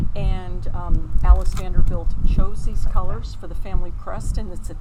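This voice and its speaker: A woman keeps a moderate pace while room echo is audible and noticeable noise sits behind her. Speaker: yarn charity co-host. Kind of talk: casual chat. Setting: outdoors. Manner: quiet.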